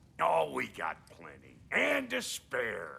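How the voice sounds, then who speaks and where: A man's put-on character voice, raspy and gruff, at a very slow pace. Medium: video game. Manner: gruff, brash, slangy.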